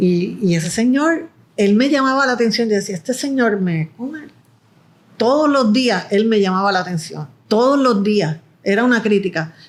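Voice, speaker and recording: A woman's fairly high voice moves at a fairly slow pace. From Puerto Rico. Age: 60s. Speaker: film producer and director. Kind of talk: interview conversation. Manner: halting, with repetitions.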